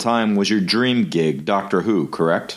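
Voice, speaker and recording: Very wide pitch swings mark a man speaking with an American accent. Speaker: podcast host. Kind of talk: casual interview.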